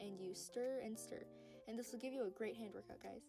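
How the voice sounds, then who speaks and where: Music plays in the background as a woman speaks in a fairly high pitch. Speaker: craft tutorial creator. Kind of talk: tutorial. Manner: fast.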